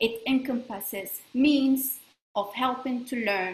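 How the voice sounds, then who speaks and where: A high-pitched woman speaks in a French accent with ordinary pitch variation. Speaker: space law expert. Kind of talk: presentation. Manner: halting.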